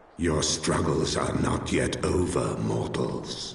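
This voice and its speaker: A man puts on a character voice, very deep and low, at a very slow pace. Clear echo rings around it. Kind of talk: archaic epic speech. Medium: machinima. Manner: solemn, grave.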